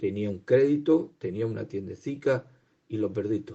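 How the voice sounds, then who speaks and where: A somewhat breathy man at a moderate pace, with a fairly low pitch and ordinary pitch variation. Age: 60s. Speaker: lay preacher. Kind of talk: sermon.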